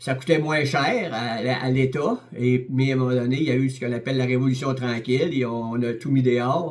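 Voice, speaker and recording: A medium-pitched man with a Quebec accent, moderately paced with fairly even intonation, over noticeable background noise. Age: 70s. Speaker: lay preacher. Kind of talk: sermon. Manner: halting, many repetitions and hesitations.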